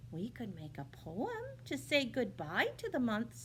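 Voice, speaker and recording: Over clear background noise, a female-sounding voice performs a put-on character voice. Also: fairly slow pace. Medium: read story. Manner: gentle, slow.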